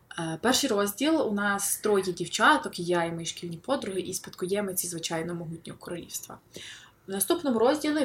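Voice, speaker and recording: Using an unremarkable speaking voice, a woman talks at a moderate pace in a medium pitch with lively intonation. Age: 20s. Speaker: novelist. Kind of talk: interview.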